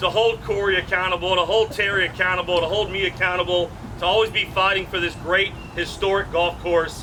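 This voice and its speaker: Over crowd noise, a man with an American accent talks at a moderate pace in a high voice with fairly even intonation. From Baton Rouge, Louisiana. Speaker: state representative. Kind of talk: dedication ceremony speech.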